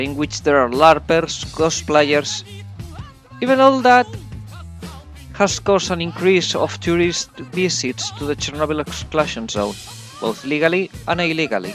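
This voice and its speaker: Music plays in the background as a man speaks at a moderate pace with lively intonation and a fairly high pitch. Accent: non-native. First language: not English. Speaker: video game reviewer. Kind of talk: video game review narration.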